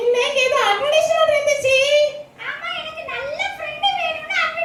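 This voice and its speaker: An extremely high, cartoonish character voice moves at a moderate pace. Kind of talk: children's gospel puppet show. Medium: puppet.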